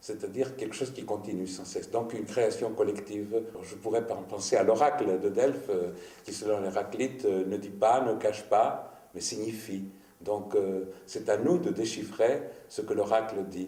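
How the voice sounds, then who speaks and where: Moderate pace, ordinary pitch variation and big swings in loudness, with audible room echo. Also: man, fairly low pitch for a man. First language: Greek (speaking French). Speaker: writer. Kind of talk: interview. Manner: halting.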